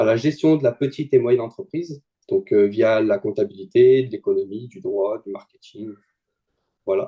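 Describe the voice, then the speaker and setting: Dark and mellow in tone, the voice moves at a moderate pace with very wide pitch swings and big swings in loudness, in a dry, close sound with no echo. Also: man, medium pitch for a man. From France, Lyon region. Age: 20s. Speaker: student trader. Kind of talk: testimony interview. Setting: video call.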